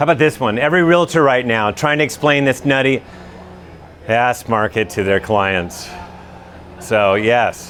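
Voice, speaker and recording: The speaker moves at a moderate pace with lively intonation over noticeable background noise. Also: man. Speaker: housing market analyst. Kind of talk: live presentation. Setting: event room with live audience. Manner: loud.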